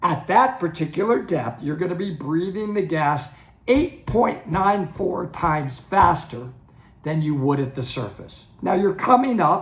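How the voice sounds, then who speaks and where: With audible room echo around him, a man talks at a fairly slow pace in a high pitch with lively intonation. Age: 60s. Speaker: dive instructor and channel host. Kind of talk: educational talk to camera. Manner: conversational, some stammering restarts.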